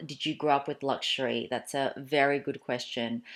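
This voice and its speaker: In a very clean recording with a silent background, a woman speaks at a moderate pace with an Australian accent. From Australia (Melbourne), moved from Malaysia at four. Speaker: YouTuber. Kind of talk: casual Q&A vlog. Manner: chatty, with many fillers and restarts.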